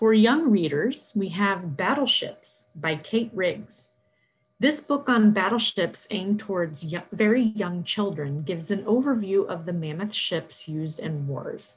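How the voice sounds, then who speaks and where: At a medium pitch, a woman talks at a fairly slow pace. Her voice is somewhat breathy. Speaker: librarian. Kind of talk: scripted book recommendations.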